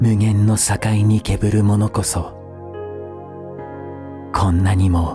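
Clear music plays behind a soft-spoken man with a gentle tone and a fairly low pitch. He speaks at a very slow pace with long, frequent pauses, very even loudness and fairly even intonation. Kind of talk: poetry reading, ASMR. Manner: soft, intimate, gentle.

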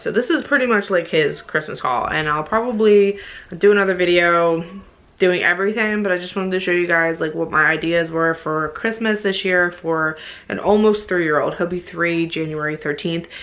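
The tone is fairly bright, the pace moderate, and the pitch variation ordinary. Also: woman, fairly low pitch for a woman.

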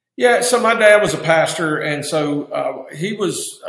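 A man with ordinary pitch variation, audible room echo and a quiet background. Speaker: guest. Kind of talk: interview answer. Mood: calm, reflective. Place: office. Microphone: webcam.

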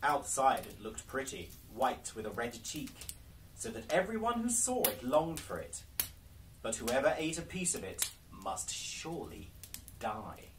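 There is noticeable background noise while a man speaks at a fairly slow pace. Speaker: storyteller. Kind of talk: storybook reading aloud. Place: home room. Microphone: camera far.

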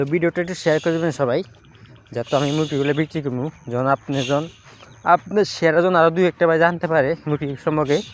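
Recorded dry and close with no echo, a man with a plain, everyday voice speaks at a fairly high pitch with fairly even intonation. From Bangladesh, Comilla region. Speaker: poultry farmer vlogger. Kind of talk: casual vlog sales pitch.

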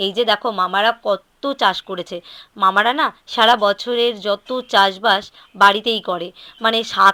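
The sound is dry and close with no echo as a woman speaks with big swings in loudness and ordinary pitch variation. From West Bengal, South Dinajpur. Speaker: vlogger. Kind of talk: casual vlog narration. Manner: chatty.

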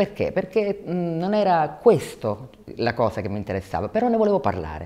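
A woman speaks with vocal fry. Her pitch swings very widely. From Sicily, Catania; Sicily. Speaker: documentary filmmaker. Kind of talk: interview. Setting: film festival. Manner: hesitant, many fillers. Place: hall. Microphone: lapel.

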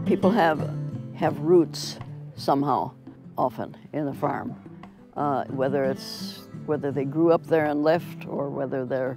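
With an Upper Midwest accent, the speaker leaves long, frequent pauses over clear background music, the sound dry with no echo and the pitch varying in an ordinary way. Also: woman, very deep, low pitch for a woman, fairly slow pace. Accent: Upper Midwest American. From Minnesota, USA. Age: 80s+. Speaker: painter. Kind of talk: interview answer. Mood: warm, cheerful. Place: home room.

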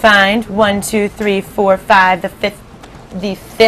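A reading voice, unforced

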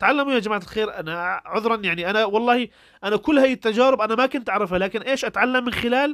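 Very clean, with a silent background and a dry, close sound with no echo, the recording captures a Syrian accent at a fairly quick pace with ordinary pitch variation. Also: man. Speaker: YouTuber giving advice to refugees. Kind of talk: tutorial. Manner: casual, conversational.

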